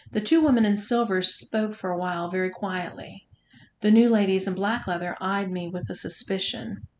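Someone is reading aloud in a natural voice. The text is read through without change.

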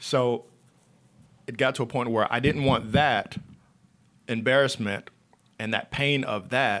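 Someone with an American accent speaks at a fairly slow pace with fairly even intonation. Long, frequent pauses break up the speech. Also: man, medium pitch for a man. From North Carolina (Monroe, near Charlotte). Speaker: author and speaker. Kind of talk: interview conversation. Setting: studio.

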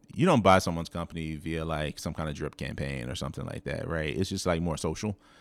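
Talking in an American accent at a very fast pace with hardly any pauses, a man has a very deep, low pitch and vocal fry. His pitch variation is ordinary, and the recording is very clean with a silent background. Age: 40s. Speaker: entrepreneur and investor. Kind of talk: casual interview. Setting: in person.

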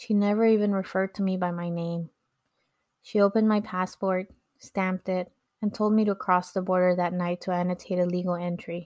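Fairly quick, monotone, flat speech with a Californian accent on a very clean recording with a silent background. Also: woman, medium pitch for a woman. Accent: Californian American English. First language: Spanish. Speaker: podcast host. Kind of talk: personal storytelling narration.

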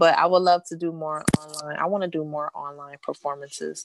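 A woman talks in a normal speaking voice. Her pace is moderate. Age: 30s. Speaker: singer-songwriter. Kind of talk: casual interview. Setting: live stream interview.

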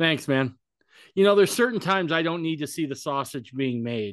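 Over a quiet background, a man with an unremarkable speaking voice talks at a fairly quick pace with lively intonation. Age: 40s. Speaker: podcast host. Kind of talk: casual chat. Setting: video call.

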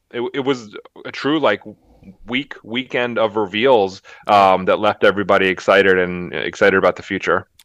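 A plain, everyday voice from a man, fairly low in pitch, moderate in pace, with ordinary pitch variation and a dry, close sound with no echo. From US Northeast, Philadelphia. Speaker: toy company marketing executive. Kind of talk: casual interview. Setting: office, remote call.

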